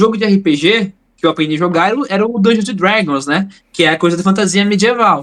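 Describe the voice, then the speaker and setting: A man speaks at a very fast pace in a high-pitched voice. His pitch varies an ordinary amount. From Bahia, Brazil (Northeast). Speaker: tabletop RPG player and game designer. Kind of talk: casual podcast chat, personal story. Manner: animated, slangy.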